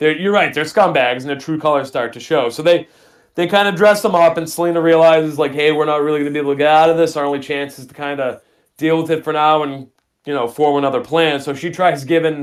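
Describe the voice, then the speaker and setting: A man talks at a very fast pace, fairly high in pitch. His intonation is fairly even, while his loudness swings widely. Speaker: horror podcast co-host. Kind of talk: casual chat.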